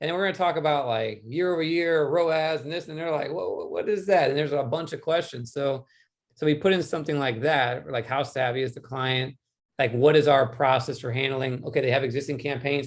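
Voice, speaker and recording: On a very clean recording with a silent background, a man with a fairly high pitch talks at a fairly quick pace with ordinary pitch variation. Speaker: PPC agency owner. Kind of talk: roundtable discussion. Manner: fast.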